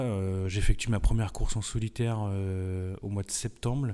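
A man speaks at a fairly low pitch in a dark, mellow tone with fairly even intonation. The recording is very clean with a silent background. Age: 30s. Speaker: professional sailor. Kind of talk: interview. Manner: hesitant, many fillers.

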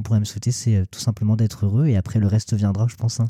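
Fairly low in pitch, this man's voice has a dark, mellow tone and a somewhat breathy quality. He talks at a very fast pace with monotone, flat intonation. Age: 20s. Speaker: Instagram influencer. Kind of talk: casual interview.

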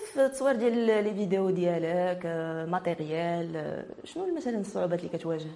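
At a moderate pace, a woman with a plain, everyday voice speaks at a fairly low pitch, with ordinary pitch variation. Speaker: web TV host. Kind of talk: interview.

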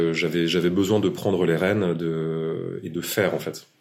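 Recorded with audible room echo, a man talks at a fairly slow pace in a very deep, low voice. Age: 40s. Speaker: tech startup founder. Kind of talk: interview.

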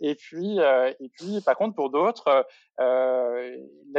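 This clip features a man talking. His pitch rises and falls in an ordinary manner. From France, Franche-Comté. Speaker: startup co-founder, former local politician. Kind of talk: interview. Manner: halting, many repetitions and fillers.

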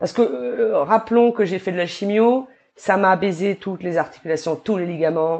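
A woman talks in an ordinary speaking voice at a fairly quick pace. Her pitch variation is ordinary. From New Caledonia. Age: 30s. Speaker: barbershop owner. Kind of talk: casual interview chat.

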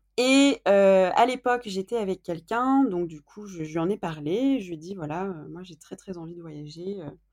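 Her pitch medium, a woman talks at a moderate pace. Her intonation is lively. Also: big swings in loudness. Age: 20s. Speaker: podcast guest. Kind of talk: interview. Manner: halting.

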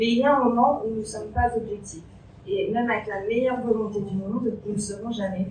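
Audible room echo colors the voice of a woman with a fairly high pitch, speaking at a moderate pace with fairly even intonation. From Picardy, northern France. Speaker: ecology researcher. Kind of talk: formal speech.

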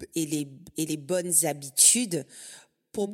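The recording is very clean, its background silent. A woman speaks at a fairly low pitch that varies in an ordinary way. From Guadeloupe. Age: 40s. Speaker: podcast host, financial advisor. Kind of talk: casual interview conversation.

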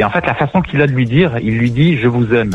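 Music plays in the background as a man talks at a medium pitch and fairly quick pace with ordinary pitch variation. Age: 40s. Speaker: radio show caller. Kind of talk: casual chat. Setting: phone call.

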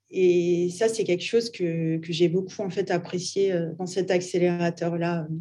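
A woman at a fairly slow pace. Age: 30s. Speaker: artist and art startup founder. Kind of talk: interview. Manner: casual, hesitant with fillers.

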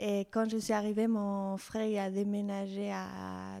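Against a silent background in a very clean recording, a woman with a Spanish accent speaks at a medium pitch with monotone, flat intonation and a dark, mellow tone. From Mexico City. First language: Spanish (speaking French). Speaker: fashion designer. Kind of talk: interview. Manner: halting.

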